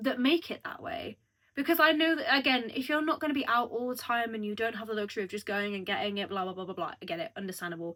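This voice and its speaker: Very fast and animated, this voice has a bright, sharp tone, very wide pitch swings and a British accent. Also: woman, fairly high pitch for a woman. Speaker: youtuber. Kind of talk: casual chat.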